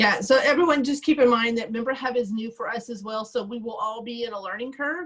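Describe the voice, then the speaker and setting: A woman's very fast, fairly high-pitched speech with hardly any pauses, ordinary pitch variation and big swings in loudness. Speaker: PTA treasurer trainer. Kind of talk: online training session Q&A.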